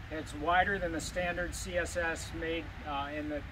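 The pace is fairly slow. Noticeable background noise is present. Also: man. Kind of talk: tutorial. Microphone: camera far.

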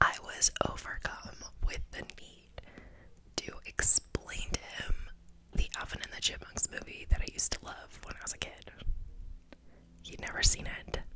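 A soft-spoken woman whispers at a moderate pace with long, frequent pauses and big swings in loudness. The sound is dry with no echo, with light background noise. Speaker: ASMR creator. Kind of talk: soft-spoken casual ASMR chat. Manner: soft close-mic whisper. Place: home room. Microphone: studio mic.

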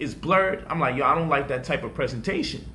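Light background noise accompanies a man with a high-pitched voice. His pitch varies in an ordinary way. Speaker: online teacher, commentator. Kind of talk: casual vlog chat. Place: home room. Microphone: studio mic.

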